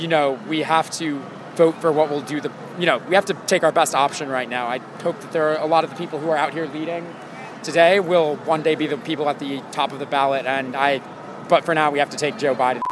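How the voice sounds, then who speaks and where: A man's fairly high voice with an American accent, very fast and fairly even in intonation, over noticeable background noise. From Ohio. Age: 20s. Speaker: protester interviewed on the street. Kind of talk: street interview.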